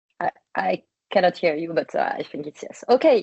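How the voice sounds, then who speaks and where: A woman with a French accent at a moderate pace. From France. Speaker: public health communicator. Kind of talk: webinar presentation. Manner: hesitant, many fillers.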